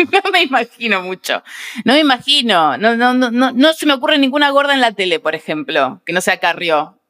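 A woman with a Rioplatense accent speaks at a moderate pace and high pitch, her bright, sharp tone swinging very widely in pitch at very even loudness, in a dry, close sound with no echo. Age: 30s. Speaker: comedian. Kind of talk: casual chat.

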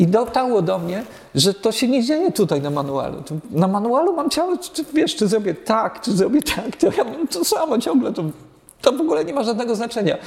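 The voice swings very widely in pitch against noticeable background noise. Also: man, extremely high pitch for a man, fairly quick pace. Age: 50s. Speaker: jazz musician. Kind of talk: casual chat.

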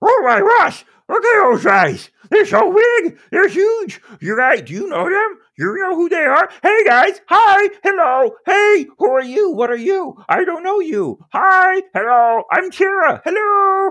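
A put-on character voice pitched extremely high. It moves at a fairly slow pace with hardly any pauses. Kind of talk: comic overacting. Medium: actual play.

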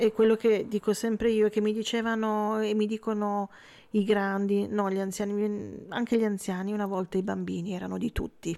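Intonation stays flat and monotone throughout. Delivery is at a moderate pace. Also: woman, medium pitch for a woman. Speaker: web radio host. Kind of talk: casual radio interview. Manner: warm, laughs often.

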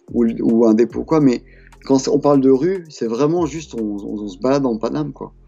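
Music plays in the background while a man speaks. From France. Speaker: graffiti artist. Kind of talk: interview. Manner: halting, many hesitations and repetitions.

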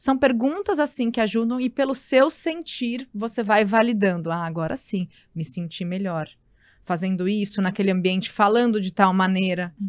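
A woman's medium-pitched voice, an unremarkable speaking voice, with lively intonation at a moderate pace, in a very clean recording with a silent background. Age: 30s. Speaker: journalist and wellness entrepreneur. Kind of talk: casual chat.

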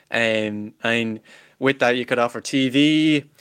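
A man speaks with an Irish accent at a medium pitch. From Ireland. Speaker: salesperson. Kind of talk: interview. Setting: video call.

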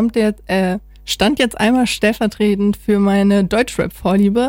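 An ordinary speaking voice from a woman, medium in pitch, at a moderate pace with fairly even intonation. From northern Germany, Oldenburg. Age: 20s. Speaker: student radio presenter. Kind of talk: casual chat; radio presenting.

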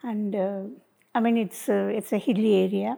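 This woman has a dark, mellow tone at a medium pitch. She talks at a moderate pace with fairly even intonation. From Nilgiris (Kotagiri), Tamil Nadu, India. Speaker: mission worker. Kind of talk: interview. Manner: halting.

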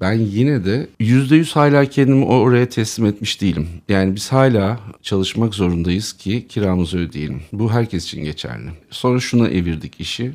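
Using an ordinary speaking voice, a man with fairly low pitch and lively intonation moves at a moderate pace with hardly any pauses. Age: 50s. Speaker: co-founder of an online video channel. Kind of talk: casual chat.

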